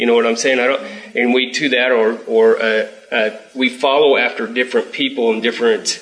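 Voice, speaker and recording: Man at a medium pitch, monotone and flat, fairly quick, with noticeable background noise. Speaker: class member. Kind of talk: group discussion comment.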